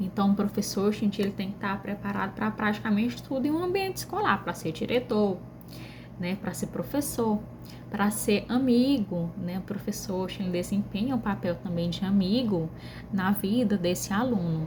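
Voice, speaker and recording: A woman with a northeastern Brazilian accent at a moderate pace, with noticeable background noise. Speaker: pedagogy student. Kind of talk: class presentation video. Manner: conversational, frequent fillers.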